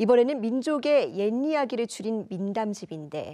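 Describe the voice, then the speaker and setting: A woman's dark, mellow tone at a moderate pace, with lively intonation. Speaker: news anchor. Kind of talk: news interview questions.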